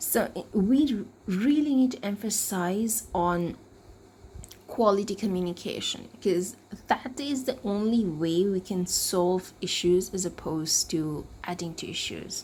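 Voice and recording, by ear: At a fairly slow pace, a woman speaks at medium pitch in a slightly mellow tone with ordinary pitch variation.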